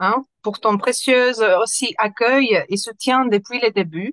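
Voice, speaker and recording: Her pitch is fairly high for a woman. She speaks at a very slow pace. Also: dry, close sound with no echo. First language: Spanish (speaking French). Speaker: interviewer. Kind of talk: interview. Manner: halting, many hesitations.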